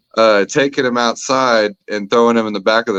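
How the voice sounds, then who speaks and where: In an ordinary speaking voice, a man talks at a medium pitch and a fairly quick pace with fairly even intonation, the sound dry and close with no echo. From Texas. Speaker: comedian. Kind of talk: storytelling interview answer.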